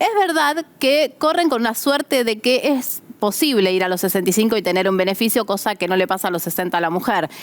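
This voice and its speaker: Speaking at a fairly quick pace with hardly any pauses, a woman uses a fairly high pitch that swings very widely. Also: very even loudness. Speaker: pension lawyer. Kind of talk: advice answering listener questions. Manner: conversational.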